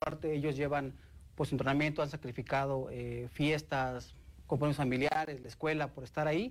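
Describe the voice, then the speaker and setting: This is a man with an ordinary speaking voice, pitched fairly high. He talks at a moderate pace. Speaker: state sports commission director. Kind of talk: interview.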